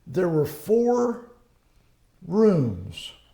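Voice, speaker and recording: A man's dark, mellow tone carries with room echo clearly heard. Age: 80s+. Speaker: local elder interviewee. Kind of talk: oral history interview. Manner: halting.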